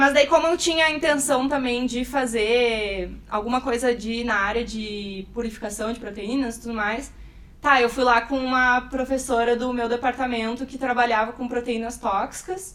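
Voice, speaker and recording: This woman's pitch is high and varies in an ordinary way as she talks at a moderate speed. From Rio Grande do Sul, Brazil. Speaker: bioinformatics researcher. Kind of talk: casual chat. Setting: recorded in person at a course.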